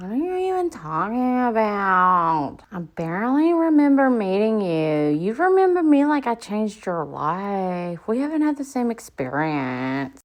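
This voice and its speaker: Hardly pausing, a woman speaks at a fairly slow pace in an animated tone, her pitch swinging very widely. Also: medium pitch for a woman. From Appalachia. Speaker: streamer. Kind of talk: heated debate. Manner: sarcastic, animated.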